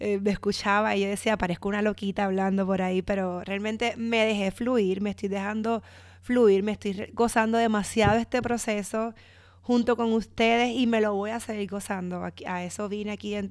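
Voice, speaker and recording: In a Puerto Rican accent, a woman speaks at a moderate pace and medium pitch. Her intonation is monotone and flat, on a very clean recording with a silent background. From Puerto Rico. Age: 30s. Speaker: podcast host. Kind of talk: casual monologue.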